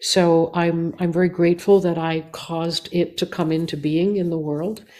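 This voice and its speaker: Her tone is dark and mellow, her pitch fairly low. The woman speaks in a flat monotone at a moderate pace. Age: 70s. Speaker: singer and composer. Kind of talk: interview. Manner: halting, many fillers.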